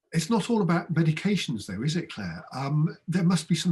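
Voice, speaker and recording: A somewhat breathy man's voice at a moderate pace, with very wide pitch swings. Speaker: general practitioner doctor. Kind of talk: medical webinar conversation.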